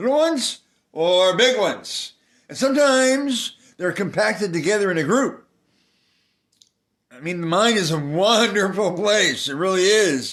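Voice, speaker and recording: Speaking at a high pitch with lively intonation, a man moves at a moderate pace, with big swings in loudness and long, frequent pauses. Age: 60s. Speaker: video blogger. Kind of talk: casual monologue. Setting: walking around while recording. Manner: halting, repetitive.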